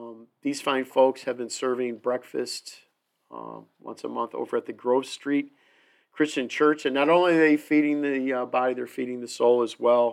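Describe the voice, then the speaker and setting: A man talks in a plain, everyday voice at a medium pitch with fairly even intonation. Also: moderate pace, big swings in loudness, very clean recording, silent background. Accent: American. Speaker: podcast host. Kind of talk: casual chat.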